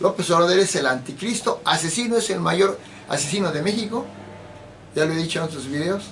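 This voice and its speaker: The man talks at a fairly quick pace in a high pitch, with ordinary pitch variation. Both background noise and room echo can be heard. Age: 70s. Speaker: political commentator. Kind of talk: political monologue.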